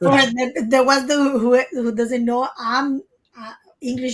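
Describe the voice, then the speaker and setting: A woman with a Spanish accent speaks at a moderate pace in a high pitch, her intonation fairly even. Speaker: trading educator. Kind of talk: casual trading webinar discussion.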